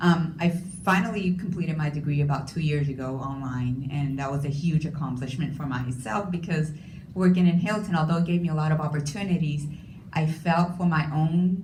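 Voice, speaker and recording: Amid noticeable background noise and audible room echo, a woman with a Spanish accent talks at a fairly quick pace in a very deep, low pitch. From Puerto Rico. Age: 40s. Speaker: hotel industry manager, panelist. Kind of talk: panel discussion.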